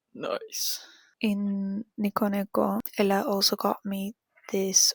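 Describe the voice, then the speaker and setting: A woman whispers very slowly in a Spanish accent, somewhat breathy. The sound is dry and close, with no echo. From Argentina. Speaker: vlogger. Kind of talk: casual vlog talk. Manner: whispering.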